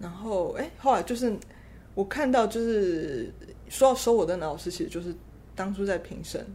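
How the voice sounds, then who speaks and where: A woman speaks with lively intonation and big swings in loudness. Audible room echo surrounds her voice. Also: medium pitch for a woman, moderate pace. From Taiwan. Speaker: concert pianist. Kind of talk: interview. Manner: halting.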